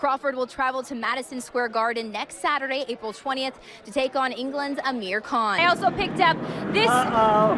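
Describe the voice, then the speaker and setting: Over noticeable background noise, a woman speaks fairly quickly in a raised, projected voice. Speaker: sports anchor and reporter. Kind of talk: TV sports news read.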